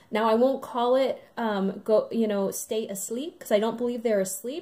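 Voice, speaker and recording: Fairly even intonation and a fairly high pitch mark this woman's speech, delivered at a moderate pace. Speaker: spiritual channeler and twin flame guide. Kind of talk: channeled spiritual message to camera. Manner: many filler ums, hesitant.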